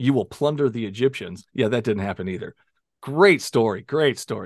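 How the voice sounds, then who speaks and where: A man speaks in a plain, everyday voice at a medium pitch, his intonation lively, the sound dry and close with no echo over a quiet background. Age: 40s. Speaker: podcast host. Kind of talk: casual debate interview.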